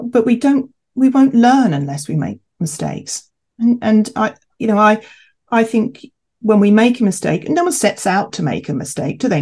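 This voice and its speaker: Speaking fairly quickly in a southern English accent, a woman has a medium pitch that swings very widely. Her tone is dark and mellow, and somewhat breathy. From England, Kent. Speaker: chief executive of a homeopathy professional body. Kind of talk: interview conversation.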